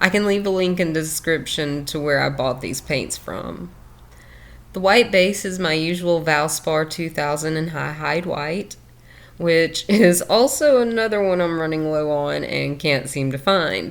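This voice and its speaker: With a Southern US accent, a woman speaks fairly slowly in a very deep, low pitch with ordinary pitch variation. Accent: southern drawl. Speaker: fluid art creator. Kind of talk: tutorial. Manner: casual.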